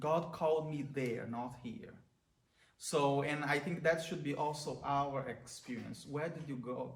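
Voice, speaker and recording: With a Brazilian accent, a man talks at a fairly slow pace in a fairly high pitch with fairly even intonation, and the room echo is audible. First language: Portuguese. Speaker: priest. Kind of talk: prayer reflection talk. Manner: halting.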